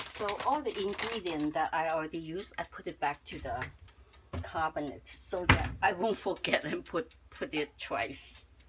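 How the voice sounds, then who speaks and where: A woman talks at a moderate pace in a fairly low voice. Noticeable background noise can be heard. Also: lively intonation. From Chinese-born, lives in Canada. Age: 70s. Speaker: home cook. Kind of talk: cooking tutorial. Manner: halting, with repeated words.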